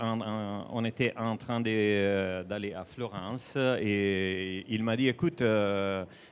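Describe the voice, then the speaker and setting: A man with an Italian accent at a very slow pace. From Italy. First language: Italian (speaking French). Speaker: comics author. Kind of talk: panel presentation. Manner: halting.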